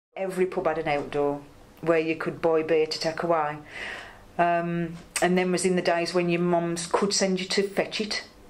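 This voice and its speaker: A woman talks in a monotone, flat intonation at a moderate pace, with noticeable background noise around her. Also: fairly low pitch for a woman. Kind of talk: oral history interview answer.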